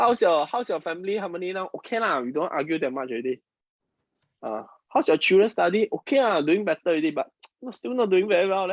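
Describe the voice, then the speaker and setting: Recorded with a dry, close sound and no echo, a man with a high pitch races along at a very fast pace with very wide pitch swings. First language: Mandarin. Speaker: feng shui and Chinese metaphysics teacher. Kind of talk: live-streamed class. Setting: online live stream. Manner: halting, repeats words.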